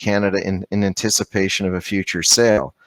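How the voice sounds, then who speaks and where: A man with a fairly low pitch speaks on a very clean recording with a silent background and a dry, close sound with no echo. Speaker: trade lawyer. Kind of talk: lecture. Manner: fast; halting.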